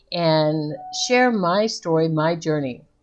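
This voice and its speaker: A woman speaks in an unremarkable speaking voice, fairly low in pitch, with ordinary variation in her intonation. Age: 60s. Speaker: vlogger. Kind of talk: casual vlog update.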